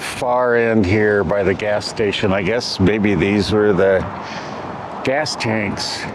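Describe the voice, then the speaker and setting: A man's fairly low voice with ordinary pitch variation, delivered very slowly amid audible room echo and noticeable background noise. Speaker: travel vlogger. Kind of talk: casual vlog narration. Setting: outdoors. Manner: loud.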